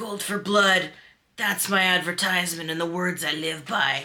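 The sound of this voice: In a put-on character voice, the speaker talks at a moderate pace with a raspy, gravelly sound at a middle pitch.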